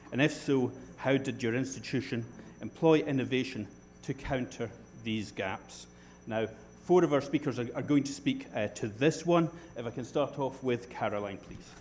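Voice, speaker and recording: A man speaks with a Scottish accent at medium pitch. His pace is moderate, and his pitch varies in an ordinary way. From Scotland. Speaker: panel moderator. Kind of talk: conference panel moderation.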